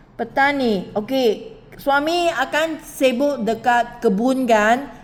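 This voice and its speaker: A woman with a Malaysian accent talks at a very slow pace in a high pitch. Her pitch variation is ordinary, and background noise is noticeable. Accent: Malaysian Malay. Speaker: recruitment interviewer. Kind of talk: job interview.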